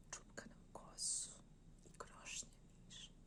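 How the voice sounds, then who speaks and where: A woman is speaking. She is whispering. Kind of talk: poetry reading.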